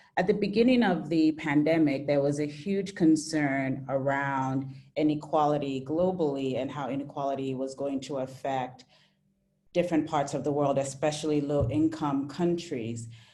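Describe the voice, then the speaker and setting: Through audible room echo, a woman speaks at a moderate pace, her very deep, low pitch and dark, mellow tone showing ordinary pitch variation. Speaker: webinar moderator. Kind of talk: panel webinar moderation. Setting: video webinar. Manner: halting with self-corrections.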